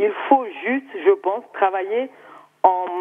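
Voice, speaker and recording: A woman speaks with an Ivorian accent and lively intonation. Her pace is fairly slow. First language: Baoulé (speaking French). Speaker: TV viewer caller. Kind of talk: call-in comment. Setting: phone call.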